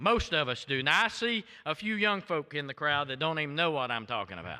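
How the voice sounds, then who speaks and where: Speaking with an American accent, a man has a fairly high pitch and a bright, sharp tone. He talks at a fairly quick pace with very wide pitch swings and big swings in loudness. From US South, Florida. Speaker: visiting preacher. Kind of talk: sermon. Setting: church. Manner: fiery, animated.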